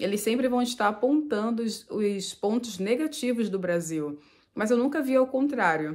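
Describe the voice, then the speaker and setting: A woman's fairly high voice with lively intonation, at a moderate pace. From Brazil, Nova Iguaçu (Rio de Janeiro state). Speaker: vlogger. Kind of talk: casual vlog talk to camera.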